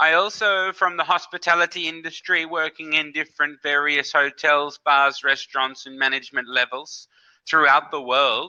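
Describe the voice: A man talks at a moderate pace with a fairly high pitch. His tone is bright and sharp, his intonation fairly even.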